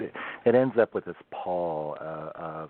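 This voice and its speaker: With a Pacific Northwest accent, a man speaks in a very deep, low voice. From Oregon coast, US Pacific Northwest. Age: 50s. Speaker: bigfoot history researcher. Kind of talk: podcast interview. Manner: halting, many fillers and repeats.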